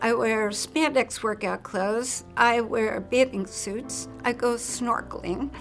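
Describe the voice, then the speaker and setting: A woman's fairly high voice, very slow and fairly even in intonation, with music in the background. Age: 60s. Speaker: cancer survivor. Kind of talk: testimony.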